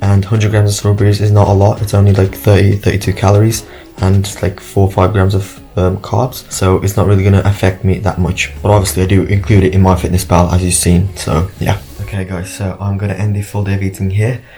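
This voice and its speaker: Quiet and fairly quick, a man speaks at a fairly low pitch in a monotone, flat intonation with hardly any pauses, over music in the background. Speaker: fitness vlogger. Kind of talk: casual vlog.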